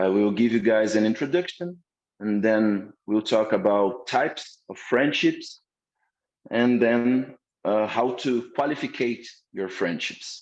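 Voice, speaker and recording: A man with a Portuguese accent speaks at a fairly slow pace. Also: medium pitch for a man, ordinary pitch variation. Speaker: course instructor. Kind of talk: lecture. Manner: halting.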